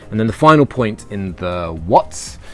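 Faint music plays in the background. A man speaks at a moderate pace, with a dry sound and no echo. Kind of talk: tutorial. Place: garden.

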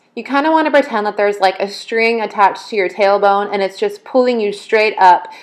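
A normal speaking voice from a woman, fairly high in pitch, with ordinary pitch variation at a fairly quick pace and hardly any pauses. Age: 20s. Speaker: fitness vlogger. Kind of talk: casual talk to camera.

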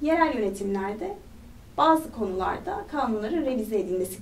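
Lively intonation at a moderate pace, over light background noise. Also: woman. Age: 30s. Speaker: parliamentary candidate; candidate. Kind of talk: interview. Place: studio.

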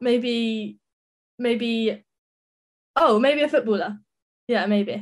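A woman with a southern English accent speaks at a fairly high pitch. Her pace is very slow, with long, frequent pauses. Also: ordinary pitch variation. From England, Sussex (Brighton). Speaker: professional cricketer. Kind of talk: interview.

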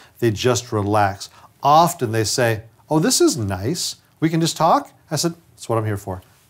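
A man speaking at a moderate pace, with lively intonation. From upstate New York. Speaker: dentist and trainer; trainer. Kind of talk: lecture. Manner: conversational. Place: studio. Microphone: lapel.

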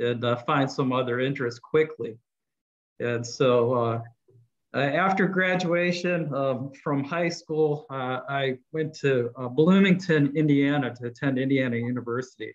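With an unremarkable speaking voice, a man talks at a fairly high pitch and keeps his intonation fairly even. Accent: American. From US Midwest (Akron, Ohio). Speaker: communications director. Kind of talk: interview. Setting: video call.

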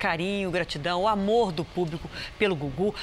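A woman with lively intonation over light background noise. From Brazil. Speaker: news anchor. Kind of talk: news reading. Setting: studio. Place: studio. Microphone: lapel.

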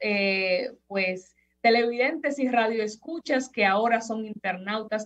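The background is quiet. The pace is fairly slow. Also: woman. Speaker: opinion commentator. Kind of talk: commentary. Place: home room. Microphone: webcam.

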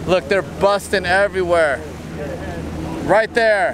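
At a slow pace, a man speaks with a high pitch and ordinary pitch variation over clear background noise.

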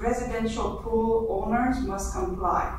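Strong echo fills the room. Background noise is noticeable. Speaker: council presenter. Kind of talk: formal reading of council motions. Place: hall.

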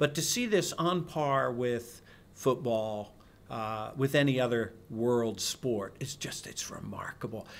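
A man with an American accent, medium in pitch, with ordinary pitch variation and a very slow pace. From Scotland. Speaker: mixed martial arts promoter; interviewee. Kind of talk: interview. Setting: arena. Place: hall. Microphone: handheld.

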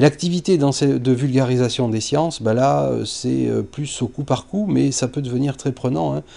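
A man speaks in a dark, mellow tone at a medium pitch and a moderate pace. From southern France. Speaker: astrophysicist; teacher. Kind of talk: interview testimony. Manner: halting, many hesitations. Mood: calm, reflective. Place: classroom.

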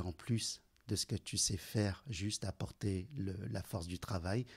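A man speaks at a fairly low pitch, somewhat breathy. The recording is very clean, with a silent background. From China, raised in central Paris from age 10. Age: 40s. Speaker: entrepreneur. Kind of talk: interview.

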